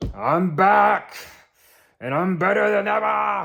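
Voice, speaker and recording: A man talks at a fairly slow pace in a put-on character voice. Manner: boastful, bold.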